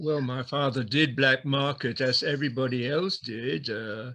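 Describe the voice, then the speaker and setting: Very slow speech in a French accent, with ordinary pitch variation and a bright, sharp tone. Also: man. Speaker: former wartime camp prisoner. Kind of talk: interview testimony. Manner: halting.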